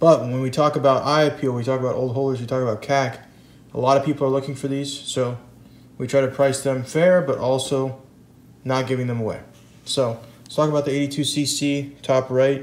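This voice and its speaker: Speaking at a fairly quick pace, a man uses a fairly high pitch and a monotone, flat intonation. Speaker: coin dealer. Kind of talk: video blog about coin collecting. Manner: casual, conversational.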